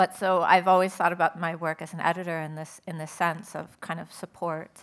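In a very clean recording with a silent background, a woman with an American accent speaks in a monotone, flat intonation at a fairly low pitch. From Southern California. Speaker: writer and poet. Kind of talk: panel talk.

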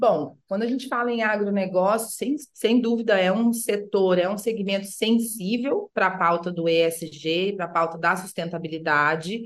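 Here a woman has an ordinary speaking voice of medium pitch. She talks at a moderate pace with ordinary pitch variation. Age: 40s. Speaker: sustainability consultant. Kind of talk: interview.

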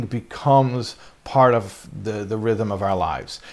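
A plain, everyday voice with an American accent moves at a moderate pace with ordinary pitch variation. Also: man. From US. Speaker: rabbi teaching a class. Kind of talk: lecture.

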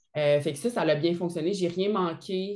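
At a moderate pace, a woman with a normal speaking voice talks at a fairly low pitch with fairly even intonation. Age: 30s. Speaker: army officer and fitness entrepreneur. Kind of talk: casual interview.

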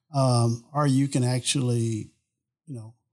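A man's plain, everyday voice, medium in pitch, with an American accent and fairly even intonation. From Southeast Texas (Beaumont). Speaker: oil and gas executive. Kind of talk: interview answers.

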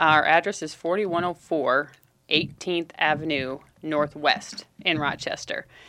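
A woman with a very deep, low pitch and a bright, sharp tone speaks with fairly even intonation in a very clean recording with a silent background. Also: fairly slow pace. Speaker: community relations director at addiction treatment center. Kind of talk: radio interview.

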